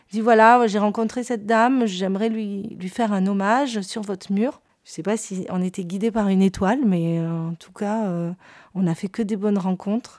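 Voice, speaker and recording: In a very clean recording with a silent background, a woman speaks at a moderate pace and a medium pitch, her intonation fairly even but her loudness swinging widely. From southern France, Perpignan. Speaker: painter. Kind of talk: interview storytelling. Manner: hesitant, with fillers and repetitions.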